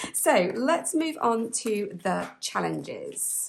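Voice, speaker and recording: Speaking at a very slow pace, a woman talks in a British accent. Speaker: budgeting vlogger. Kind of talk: casual chat. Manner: halting.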